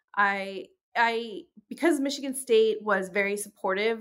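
On a very clean recording with a silent background, a woman talks at a fairly slow pace in a fairly high pitch with ordinary pitch variation. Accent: New York. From New York, of English birth. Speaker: professor of religious studies. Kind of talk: interview. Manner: halting, frequent fillers and repetitions.

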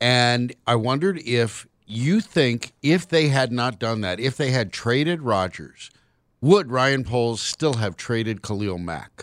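A man with medium pitch speaks fairly slowly, his intonation lively. The recording is very clean with a silent background. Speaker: sports radio host. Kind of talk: casual sports talk. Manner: animated.

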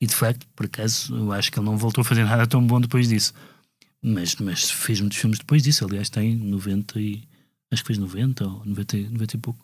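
Fairly even in intonation and somewhat breathy, a man talks at a fairly low pitch. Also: moderate pace. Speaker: music critic podcast co-host. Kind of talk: casual discussion. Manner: hesitant, many fillers.

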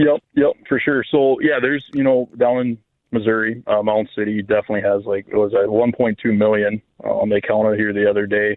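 In a plain, everyday voice, a man talks at a fairly quick pace with medium pitch and fairly even intonation. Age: 20s. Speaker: waterfowl hunting guide. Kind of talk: radio interview.

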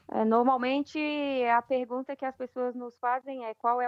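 A woman's high voice at a moderate pace, dry and close with no echo. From Brazil, Brasília. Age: 30s. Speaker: professional women's footballer. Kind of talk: interview.

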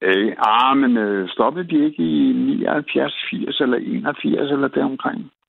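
A man talks at a very slow pace with very even loudness. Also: hardly any pauses. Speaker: caller. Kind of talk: casual chat. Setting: phone call. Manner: halting, many fillers.

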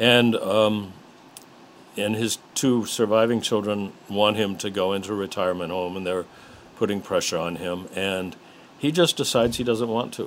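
Using an ordinary speaking voice, a man with an American accent talks at a moderate pace, fairly low in pitch with ordinary pitch variation. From West Virginia, US (Parkersburg); Chicago from late teens. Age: 60s. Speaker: retired English teacher and novelist. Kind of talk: interview.

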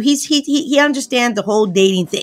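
Over noticeable background noise, a woman with a high voice speaks at a fairly quick pace, her tone energetic and animated and her intonation lively. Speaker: relationship coach. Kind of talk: interview. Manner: energetic, animated.

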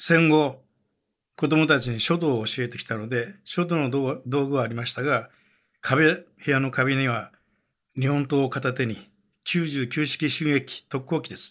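The man has an ordinary speaking voice with a fairly high pitch and fairly even intonation. He goes at a fairly slow pace on a very clean recording with a silent background. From Wakayama, Japan. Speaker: newspaper journalist. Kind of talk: documentary narration.

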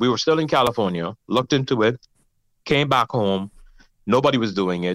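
Speaking at a fairly quick pace with a Bahamian accent, a man with a medium-pitched voice uses lively intonation on a very clean recording with a silent background. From Bahamas (Nassau). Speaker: gospel music producer and awards founder. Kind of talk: interview.

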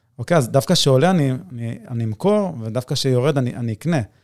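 An unremarkable speaking voice at a fairly quick pace, with ordinary pitch variation, a dry, close sound with no echo, and a very clean recording over a silent background. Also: man. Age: 30s. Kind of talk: casual interview chat.

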